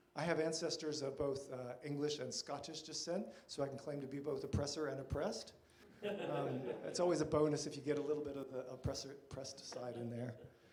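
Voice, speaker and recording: A man's fairly high voice with an American accent, fairly even intonation and a fairly quick pace, amid noticeable background noise and audible room echo. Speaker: church workshop presenter. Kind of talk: lecture.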